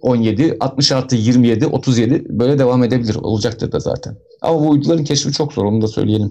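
At a moderate pace, a man speaks with a dark, mellow tone at medium pitch and with ordinary pitch variation. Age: 40s. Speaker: astronomy educator. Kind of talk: live-streamed educational talk.

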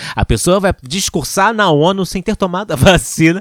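Dry, close sound with no echo captures a man talking at a fairly slow pace in an animated tone. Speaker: podcast host. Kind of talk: casual chat.

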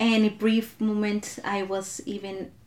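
Over noticeable background noise, a woman speaks with an American accent at a medium pitch. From Southern California (came from Mexico at five). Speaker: immigrant rights activist. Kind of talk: casual chat.

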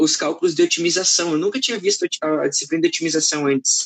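A man with a southern Brazilian accent talks at a fairly quick pace. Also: dry, close sound with no echo. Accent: gaúcho Portuguese. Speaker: live-stream host. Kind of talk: live-stream interview. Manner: animated.

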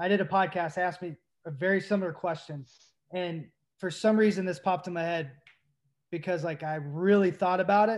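Fairly quick and high-pitched, a man speaks with an American accent and fairly even intonation. The recording is very clean, with a silent background. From US South, Tennessee (Knoxville). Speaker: former pro baseball player. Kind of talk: casual chat.

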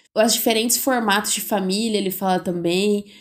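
On a very clean recording with a silent background, a woman with an ordinary speaking voice talks at a moderate pace and medium pitch with ordinary pitch variation. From Brazil, interior of São Paulo state (Bauru). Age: 20s. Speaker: podcast co-host, biology student. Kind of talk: casual chat. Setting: recording in person together.

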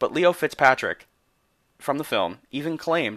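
The voice has vocal fry, captured in a dry, close sound with no echo on a very clean recording with a silent background. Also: man. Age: 20s. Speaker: podcast host. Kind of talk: scripted narration.

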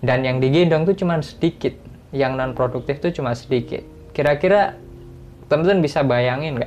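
A man's normal speaking voice, fairly high in pitch, at a fairly quick pace with ordinary pitch variation. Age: 20s. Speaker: podcast host. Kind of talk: motivational talk. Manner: casual.

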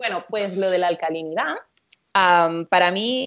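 With a plain, everyday voice, a woman of fairly low pitch and ordinary pitch variation talks at a fairly slow pace. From Catalonia, Spain (Empordà). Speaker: nutritionist. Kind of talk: interview.

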